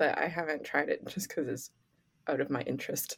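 This woman speaks with a Canadian accent. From Canada. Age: 20s. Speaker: podcast co-host and community arts organizer. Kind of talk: casual chat. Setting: remote call across time zones. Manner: calm-sounding.

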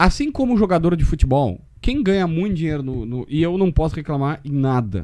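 At a fairly quick pace, a man speaks in a dark, mellow tone with very wide pitch swings. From Rio Grande do Sul, Brazil (Osório / Capivari do Sul). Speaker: sports journalist. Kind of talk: casual chat.

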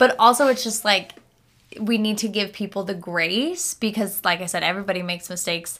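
At a fairly quick pace, a woman speaks in an animated, bright, sharp tone with ordinary pitch variation. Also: medium pitch for a woman. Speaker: podcast co-host. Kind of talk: casual chat.

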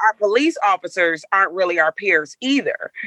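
A woman at a medium pitch talks at a fairly quick pace with a dry, close sound with no echo.

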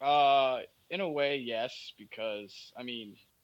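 A man's plain, everyday voice with ordinary pitch variation. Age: 20s. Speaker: online wrestling league organizer. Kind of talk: casual chat.

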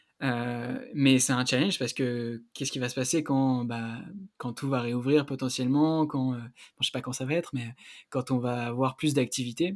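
A normal speaking voice with fairly even intonation at a fairly slow pace, on a very clean recording with a silent background. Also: man. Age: 20s. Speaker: student and health-entrepreneurship podcaster. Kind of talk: casual interview.

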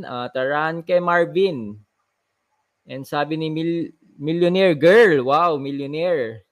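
This man has an unremarkable speaking voice that sits fairly high. His pitch varies in an ordinary way. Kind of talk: live stream show chat. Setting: live stream.

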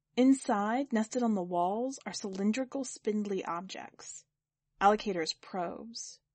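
Plain reading aloud with ordinary pitch variation is heard against a quiet background.

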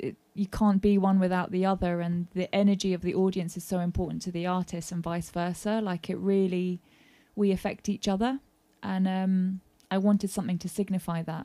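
In a London accent, a woman with a dark, mellow tone and medium pitch speaks at a fairly quick pace in a monotone, flat intonation, with a dry, close sound and no echo. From South London. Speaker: singer-songwriter and session musician. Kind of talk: casual interview chat. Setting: garden shed studio.

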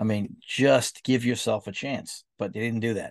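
At a fairly quick pace, a man with an ordinary speaking voice talks at a medium pitch with fairly even intonation, the sound dry and close with no echo against a quiet background. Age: 50s. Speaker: sports podcast host. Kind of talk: casual sports commentary monologue.

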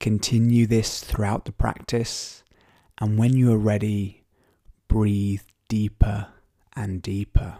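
Very slow with long, frequent pauses, the voice has a calm, soothing tone that is dark and mellow, its intonation monotone and flat. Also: man, fairly low pitch for a man. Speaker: podcast host and meditation guide. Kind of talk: guided meditation. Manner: slow, calm and soothing; gentle, unhurried with long pauses.

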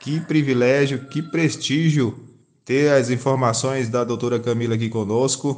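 Fairly slow and fairly even in intonation, a man speaks with a plain, everyday voice at a medium pitch. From Brazil, Rio Grande do Norte. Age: 30s. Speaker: podcast host with Parkinson's. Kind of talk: casual chat.

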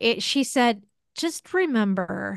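At a fairly slow pace, a plain, everyday voice speaks with an American accent. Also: woman, quiet background. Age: 50s. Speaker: podcast host. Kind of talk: casual chat.

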